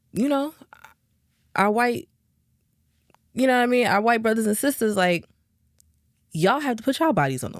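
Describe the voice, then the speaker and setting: A woman talks at a fairly quick pace in a fairly high voice with lively intonation. She leaves long, frequent pauses, and her loudness swings widely. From New Jersey, Jersey City, with time in Texas. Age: 20s. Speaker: R&B singer. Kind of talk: podcast interview.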